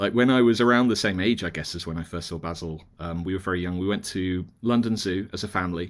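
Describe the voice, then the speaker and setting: With hardly any pauses, a man in a British accent talks at a very fast pace in a very deep, low pitch with ordinary pitch variation, captured in a very clean recording with a silent background. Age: 40s. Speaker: magazine editor and author. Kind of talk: casual chat.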